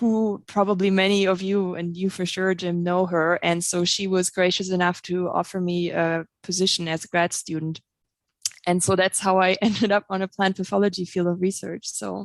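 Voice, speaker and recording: Dry and close with no echo, a woman speaks at a medium pitch and moderate pace in monotone, flat intonation. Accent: German. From Germany (East Germany, Halle). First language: German. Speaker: plant pathologist, researcher. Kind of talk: podcast interview.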